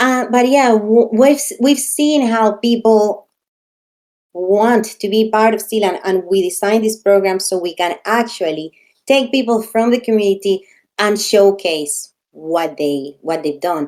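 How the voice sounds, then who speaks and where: At a fairly slow pace, a woman with a non-native accent speaks at a fairly high pitch with lively intonation. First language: not English. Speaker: community program organizer. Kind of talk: live online Q&A.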